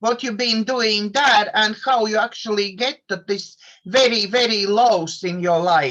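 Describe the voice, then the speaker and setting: The voice has a bright, sharp tone and ordinary pitch variation. It carries a non-native accent. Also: woman. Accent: foreign. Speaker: interviewer, coach therapist. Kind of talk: interview.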